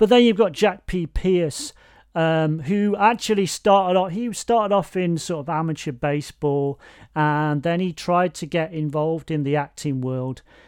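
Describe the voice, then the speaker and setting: Speaking with an East Midlands accent, a man talks at a moderate pace in a high pitch with ordinary pitch variation. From Nottingham, England. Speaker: podcast host. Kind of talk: casual chat. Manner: halting, self-interrupting.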